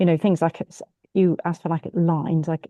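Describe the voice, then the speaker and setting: Speaking very fast in a Bristolian accent, a woman has a fairly low pitch and a dark, mellow tone, recorded dry and close with no echo over a quiet background. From England, Bristol. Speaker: law firm partner. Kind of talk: online group discussion.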